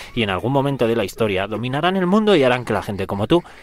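A man talks at a very fast pace in a medium pitch. His voice makes very wide pitch swings. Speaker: comedy radio contributor. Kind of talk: satirical scripted segment.

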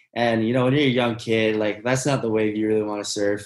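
Audible room echo surrounds a man speaking at a fairly quick pace in a fairly low pitch with monotone, flat intonation. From Hawaii (Honolulu, town side of Oahu). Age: 20s. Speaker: professional surfer. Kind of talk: interview. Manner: laid-back.

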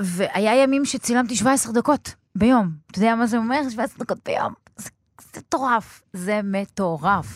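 Somewhat breathy, a woman speaks in a fairly high pitch. She keeps a moderate pace with ordinary pitch variation. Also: dry, close sound with no echo. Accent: Arabic. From Israel, Beersheba. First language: Arabic (speaking Hebrew). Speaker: film director and screenwriter. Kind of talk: interview.

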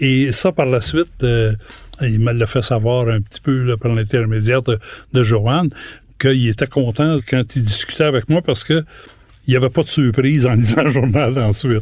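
In a Quebec accent, a man speaks at a moderate pace with a medium pitch. His loudness is very even, and his pitch varies an ordinary amount. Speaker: retired journalist. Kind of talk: interview. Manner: halting.

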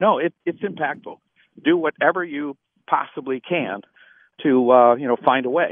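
A man with an American accent, a fairly high pitch and an unremarkable speaking voice talks with lively intonation. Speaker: nonprofit founder and CEO. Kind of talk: radio interview. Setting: phone call.

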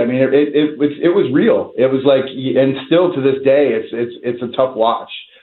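With an American accent and an ordinary speaking voice, a man talks at a moderate pace in a fairly high pitch, with fairly even intonation and hardly any pauses. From US Northeast, North Jersey. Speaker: documentary filmmaker. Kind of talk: interview.

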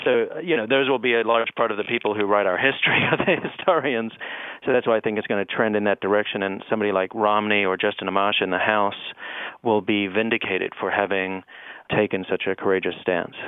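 A man with a fairly low voice talks very fast over noticeable background noise. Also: fairly even intonation. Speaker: professor. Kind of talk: interview.

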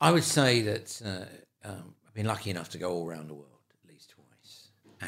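A man with a London accent talks at a moderate pace in a fairly low voice with lively intonation. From London, England (Pimlico). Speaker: photographer and filmmaker. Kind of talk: interview, life story.

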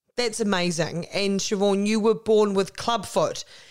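A woman speaks with a New Zealand accent. Her intonation stays fairly even. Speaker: podcast host. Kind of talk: interview. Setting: remote call.

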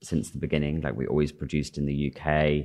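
With a Cheshire accent, a man speaks at a very deep, low pitch. His tone is dark and mellow. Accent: northern English (Cheshire). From northern England, Chester. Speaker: fashion designer. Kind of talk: interview on stage. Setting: stage with small live audience.

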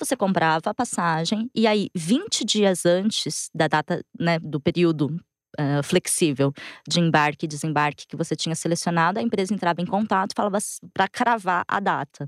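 A woman's ordinary speaking voice, fairly low in pitch, with lively intonation at a moderate pace and a dry, close sound with no echo. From Brazil, interior of São Paulo state (Matão). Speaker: journalist. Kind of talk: interview.

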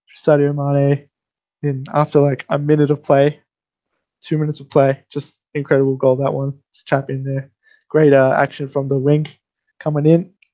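Long, frequent pauses break up a man's moderate pace, and his loudness swings widely. His tone is dark and mellow, with a fairly high pitch, flat monotone intonation and an Australian accent. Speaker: radio sports presenter. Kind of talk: sports commentary; casual sports radio chat. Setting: radio studio.

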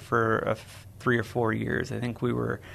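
A man speaks at a medium pitch with a Midwestern American accent. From US Midwest, St. Louis, Missouri. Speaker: nonprofit representative. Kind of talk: radio interview.

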